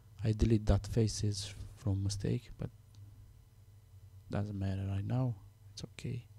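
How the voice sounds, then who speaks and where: Speaking with a non-native accent, a man uses a fairly low pitch and a dark, mellow, somewhat breathy tone. His pace is fairly slow, his intonation fairly even, and his pauses long and frequent. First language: Romanian. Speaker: software tutorial maker. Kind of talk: tutorial. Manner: halting, many fillers.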